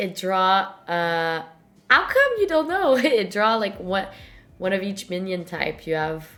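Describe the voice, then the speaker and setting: Bright and sharp in tone, a woman with a French-Canadian accent speaks with lively intonation, and room echo is audible. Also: medium pitch for a woman, fairly slow pace. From Montreal, Quebec. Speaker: podcast host. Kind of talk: casual interview chat.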